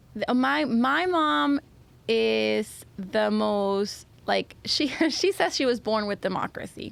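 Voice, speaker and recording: A woman with a Spanish accent, very slow pace and very even loudness. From Venezuela. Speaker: Spanish teacher. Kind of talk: podcast interview answer.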